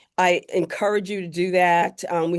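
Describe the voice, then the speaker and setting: A woman in a normal speaking voice, medium in pitch, at a fairly slow pace with fairly even intonation, over a quiet background. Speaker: career workshop presenter. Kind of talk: workshop presentation.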